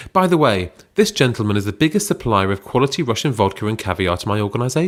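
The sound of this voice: An unforced reading voice comes through.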